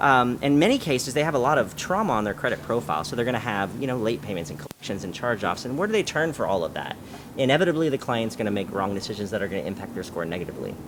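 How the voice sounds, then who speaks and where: Talking at a very fast pace with hardly any pauses, a man with an American accent and a medium pitch uses very wide pitch swings over noticeable background noise. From Southern California, San Diego. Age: 40s. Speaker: credit restoration company owner. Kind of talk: interview. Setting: cafe.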